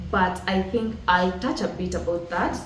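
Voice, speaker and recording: A woman with a Kenyan accent at a moderate pace, ordinary pitch variation, noticeable background noise and audible room echo. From rural Kenya. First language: Kikuyu. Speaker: motivational podcast host. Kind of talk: motivational talk.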